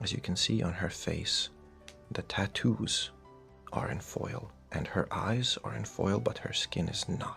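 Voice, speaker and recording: A man speaks softly. Music plays in the background. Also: fairly slow pace. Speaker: card collector youtuber. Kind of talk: show-and-tell commentary. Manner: soft-spoken.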